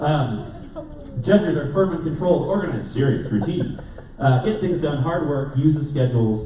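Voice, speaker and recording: A man with a fairly high pitch talks at a moderate pace with lively intonation. Audible room echo and noticeable background noise are present. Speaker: conference speaker. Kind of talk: conference talk. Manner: loud.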